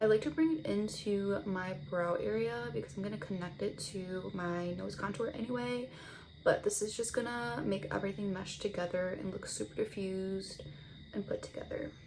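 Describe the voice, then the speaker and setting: Noticeable background noise runs beneath a woman speaking at a moderate pace. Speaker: beauty vlogger. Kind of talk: makeup tutorial. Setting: home, on camera. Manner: casual, chatty.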